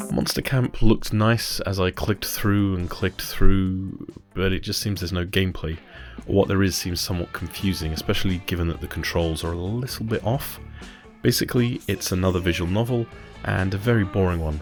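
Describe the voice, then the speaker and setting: A soft-spoken man talks at a fairly quick pace, his very deep, low pitch showing ordinary variation. His voice is breathy, with music in the background. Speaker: gaming channel host. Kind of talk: game review narration. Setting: home recording, popping plosives. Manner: soft, breathy.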